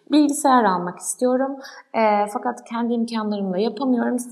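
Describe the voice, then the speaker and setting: Noticeable background noise sits behind a woman whose fairly high pitch carries lively intonation. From Turkey, Ankara. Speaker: startup founder. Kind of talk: interview. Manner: hesitant, many fillers.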